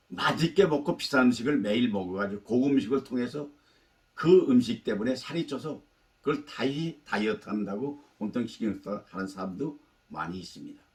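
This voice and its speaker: A man with an ordinary speaking voice talks at a moderate pace in a medium pitch. His intonation is lively, with big swings in loudness. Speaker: life-advice YouTuber. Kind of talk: talk to camera, life lecture.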